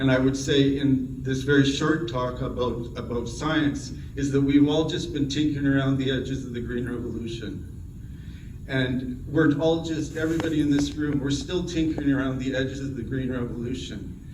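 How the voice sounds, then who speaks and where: Over noticeable background noise and audible room echo, a man speaks at a moderate pace. His pitch is fairly high, and his intonation is monotone and flat. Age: 60s. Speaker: plant breeding professor. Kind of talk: award acceptance talk. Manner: halting.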